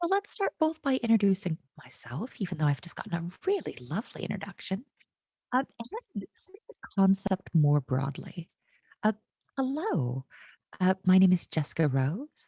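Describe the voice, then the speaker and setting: A dark, mellow, somewhat breathy voice with an American accent, at a moderate pace, with very wide pitch swings, big swings in loudness, long and frequent pauses, and a dry, close sound with no echo. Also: woman, medium pitch for a woman. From United States. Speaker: tech consultant, conference keynote speaker. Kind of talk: conference keynote talk. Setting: online conference. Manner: animated, casual and jokey.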